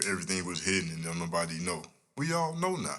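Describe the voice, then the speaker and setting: A quiet voice at a fairly quick pace. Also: man. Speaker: podcast host. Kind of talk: casual monologue. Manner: low, quiet delivery; animated.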